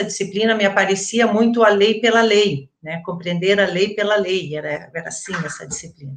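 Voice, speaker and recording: At a moderate pace and medium pitch, a woman talks in an ordinary speaking voice with ordinary pitch variation. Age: 50s. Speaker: retired education professor. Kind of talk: interview. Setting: online live stream.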